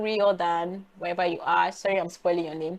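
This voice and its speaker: A woman with a Nigerian accent against a quiet background. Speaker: data analytics YouTuber. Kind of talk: tutorial. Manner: casual, hesitant with fillers.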